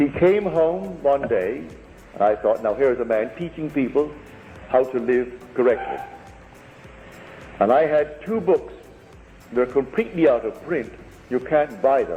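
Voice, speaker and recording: Man at a fairly high pitch and fairly slow pace, with long, frequent pauses and music in the background. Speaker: spiritual lecturer. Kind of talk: lecture to a live audience.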